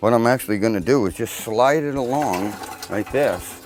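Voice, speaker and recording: With noticeable noise in the background, a man's medium-pitched voice moves at a moderate speed. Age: 60s. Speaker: boat repair demonstrator. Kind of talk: tutorial. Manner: casual.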